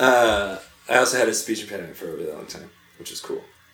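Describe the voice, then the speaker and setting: A man speaks in an American accent at a fairly quick pace. There is noticeable background noise. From northeastern North Carolina, early childhood New York. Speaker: podcast guest. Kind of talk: casual chat. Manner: halting, many fillers.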